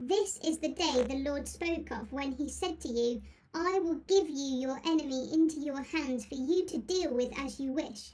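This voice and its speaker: A woman puts on a high-pitched character voice. She speaks at a moderate pace with ordinary pitch variation. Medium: audio drama.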